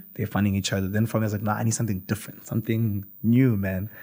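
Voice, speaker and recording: A man's fairly low, monotone, flat voice at a very fast pace, on a very clean recording with a silent background. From South Africa, Limpopo. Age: 20s. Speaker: YouTuber. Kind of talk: casual chat.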